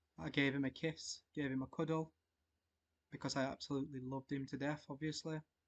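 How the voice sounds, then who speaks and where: A man talks at a fairly quick pace in a fairly high pitch with monotone, flat intonation. The sound is dry and close with no echo. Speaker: Orthodox altar server. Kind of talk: personal testimony to camera. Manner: stuttering, hesitant.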